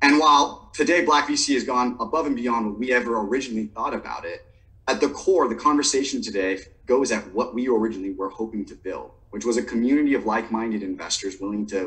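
This man's tone is bright and sharp. He keeps a fairly quick pace. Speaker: event co-host. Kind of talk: webinar introduction. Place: home room. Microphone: webcam.

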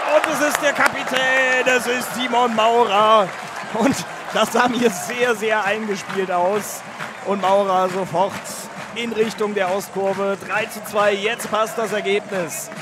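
With crowd noise behind him, a man speaks at a high pitch in a raised, projected voice, very slowly, with ordinary pitch variation and a dry sound with no echo. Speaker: football commentator. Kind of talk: live sports commentary. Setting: stadium. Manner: animated, excited, emotional. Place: stadium.

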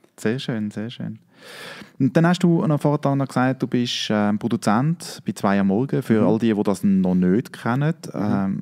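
A man with a Swiss accent speaks at a moderate pace in a dark, mellow tone, his pitch swinging very widely against a quiet background. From Switzerland. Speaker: podcast host. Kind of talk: casual interview. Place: studio. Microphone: studio mic.

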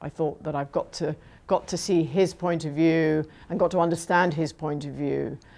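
A woman with a very deep, low pitch and a dark, mellow tone speaks at a moderate pace with fairly even intonation. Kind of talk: interview answer. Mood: reflective, thoughtful. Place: home room.

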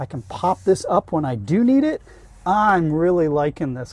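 Against a quiet background, a man's dark, mellow tone comes through in a dry sound with no echo. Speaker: van reviewer. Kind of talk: product walkthrough. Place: car. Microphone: camera far.

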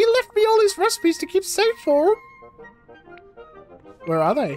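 A man talks at a fairly quick pace in a put-on character voice. Faint music plays in the background. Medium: game stream. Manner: chipper, exclamatory.

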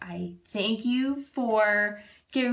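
A woman with an American accent speaks at a fairly high pitch. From Massachusetts. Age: 30s. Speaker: reality show applicant. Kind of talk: audition video. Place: kitchen. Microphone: phone near.

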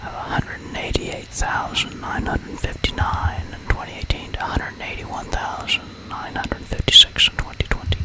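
Whispering at a fairly quick pace, the speaker barely pauses at all. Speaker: ASMR narrator. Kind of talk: ASMR whispered educational narration of statistics. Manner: whispered, soft-spoken. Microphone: studio mic.

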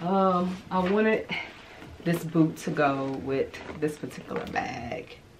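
A woman speaks with lively intonation. Background noise is noticeable. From Arkansas. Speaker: fashion YouTuber. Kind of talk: casual vlog. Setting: home closet. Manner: loud; animated. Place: home room.

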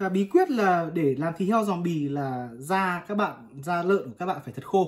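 At a moderate pace, the voice carries lively intonation and a slightly husky edge.

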